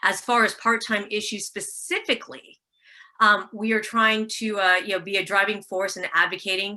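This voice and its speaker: Bright and sharp in tone, the voice carries an American accent and fairly even intonation. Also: woman. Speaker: community college instructor and union representative. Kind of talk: panel presentation. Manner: fast.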